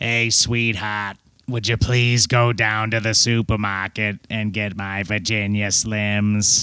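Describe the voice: A man uses a put-on character voice, raspy and fairly low in pitch. He delivers it at a fairly slow pace with flat, monotone intonation.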